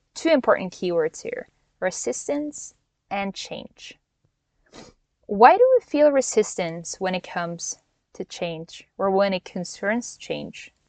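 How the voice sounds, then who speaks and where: A woman speaks with a Norwegian accent, her pitch swinging very widely. She goes at a very slow pace with long, frequent pauses. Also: medium pitch for a woman, dry, close sound with no echo. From Norway. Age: 20s. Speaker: life coach and podcast host. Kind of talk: solo podcast monologue. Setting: in a van, possible background noise. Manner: casual, with fillers and laughs.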